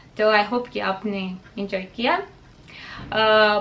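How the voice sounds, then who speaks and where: A woman's fairly high voice with a Russian accent, over noticeable background noise. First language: Russian (speaking Hindi). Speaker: vlogger. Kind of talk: casual vlog talk to camera. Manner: halting, many fillers.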